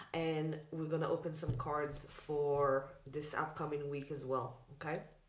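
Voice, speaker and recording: Amid noticeable background noise and audible room echo, a woman with a very deep, low pitch speaks at a fairly slow pace in a monotone, flat intonation. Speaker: tarot reader. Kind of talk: casual chat. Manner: loud.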